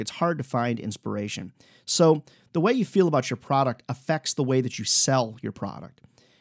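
A man's normal speaking voice, a normal speaking voice at medium pitch with ordinary pitch variation and a moderate pace, dry and close with no echo, on a very clean recording with a silent background. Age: 40s. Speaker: sales coach and podcast host. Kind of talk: solo podcast monologue, sales advice. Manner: casual, conversational with fillers.

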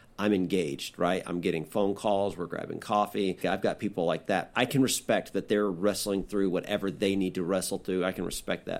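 With hardly any pauses, a plain, everyday voice moves at a fairly quick pace and fairly even intonation on a very clean recording with a silent background. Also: man, fairly low pitch for a man. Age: 40s. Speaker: pastor, podcast host. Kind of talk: casual chat.

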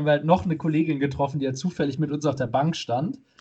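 With a fairly high, somewhat breathy voice, a man speaks at a very fast pace with fairly even intonation. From Germany, not Munich. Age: 30s. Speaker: podcast co-host. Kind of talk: casual chat. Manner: halting, many fillers.

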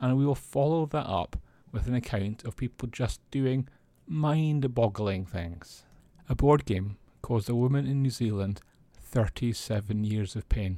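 Speaking fairly slowly with a Scottish accent, a man delivers a dark, mellow tone at medium pitch with ordinary pitch variation, in a very clean recording with a silent background. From Scotland. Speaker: tabletop gaming news podcaster. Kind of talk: news roundup monologue.

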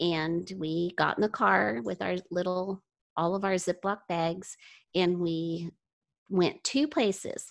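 Against a quiet background, a woman with an ordinary speaking voice talks at a fairly slow pace, her fairly low pitch showing ordinary variation. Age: 60s. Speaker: mother sharing parenting experience. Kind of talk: casual interview. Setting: video call.

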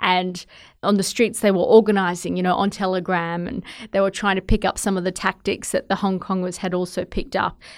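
Very clean and set against a silent background, the voice moves at a fairly quick pace in a monotone, flat intonation with an Australian accent. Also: woman, medium pitch for a woman. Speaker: television journalist. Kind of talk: interview.

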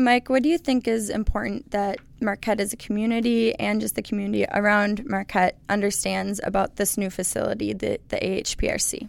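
Hardly pausing at all, the woman keeps up a fairly quick pace. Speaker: research technician and former college sprinter. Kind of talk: casual interview conversation.

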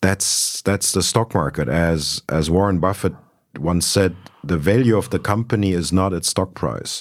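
Vocal fry marks this voice, which has a German accent and ordinary pitch variation. The pace is moderate, and the recording is very clean with a silent background. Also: man, very deep, low pitch for a man. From Germany (Berlin). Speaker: luxury e-commerce executive. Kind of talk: interview. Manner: repetitive stammering starts.

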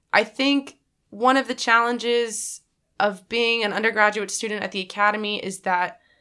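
With an American accent, a woman speaks in a fairly high, bright and sharp voice with fairly even intonation, on a very clean recording with a silent background. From Texas, Dallas. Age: 20s. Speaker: naval academy midshipman. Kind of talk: interview.

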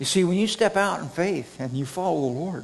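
An unremarkable speaking voice from a man with an American accent, moderate in pace, with lively intonation. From Redding, California. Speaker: preacher. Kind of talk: sermon. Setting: church with congregation.

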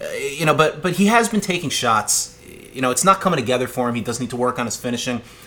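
Very fast and with very wide pitch swings, a man's speech cuts through noticeable background noise. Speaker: podcast co-host. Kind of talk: casual chat. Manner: smooth-speaking.

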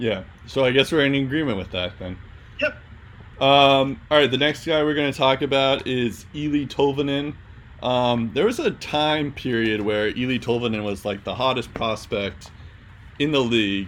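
This man's voice is medium in pitch. He keeps a moderate pace. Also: ordinary pitch variation. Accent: American. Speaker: podcast host. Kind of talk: casual sports podcast discussion. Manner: filler-heavy, casual.

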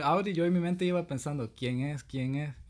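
A man speaks with a Salvadoran accent. His pace is moderate and his pitch varies in an ordinary way. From El Salvador. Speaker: podcast host. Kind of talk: casual chat.

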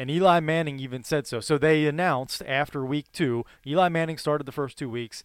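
A plain, everyday voice from a man, fairly high in pitch and fairly quick, with hardly any pauses and fairly even intonation in a very clean recording with a silent background. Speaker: sports podcast co-host. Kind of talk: casual chat.

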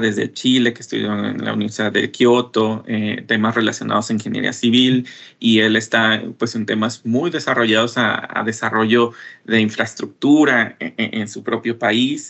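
A man at a medium pitch and moderate pace, with monotone, flat intonation. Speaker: former scholarship holder, business development professional. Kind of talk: radio interview. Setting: remote connection.

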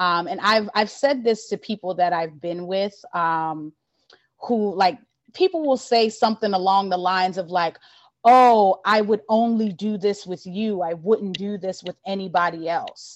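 Here is an unremarkable speaking voice with an American accent. It goes at a fairly slow pace with ordinary pitch variation. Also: woman, medium pitch for a woman. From Baltimore, US East Coast. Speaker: poet. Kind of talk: casual chat.

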